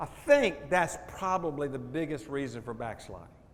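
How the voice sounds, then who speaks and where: A man is speaking. He has a Southern US accent. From US South, Jacksonville Florida. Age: 70s. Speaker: stewardship pastor. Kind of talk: testimony talk to audience. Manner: animated.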